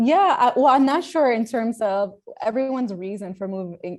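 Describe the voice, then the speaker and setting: A woman with an American accent speaks at a moderate pace with lively intonation while music plays in the background. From United States. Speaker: startup founder. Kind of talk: podcast interview.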